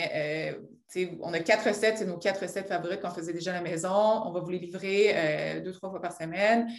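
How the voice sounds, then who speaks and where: The room echo is audible. Within it, a woman speaks at a moderate pace. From Quebec, Abitibi. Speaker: entrepreneur. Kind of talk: interview.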